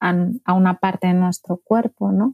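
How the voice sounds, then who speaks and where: A woman's dark, mellow tone comes through with fairly even intonation in a dry, close sound with no echo. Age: 40s. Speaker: gastroenterologist. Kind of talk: interview.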